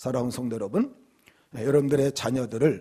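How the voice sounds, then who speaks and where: This man has a medium pitch and a dark, mellow tone that comes across somewhat breathy. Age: 60s. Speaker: pastor. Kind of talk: sermon. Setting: church.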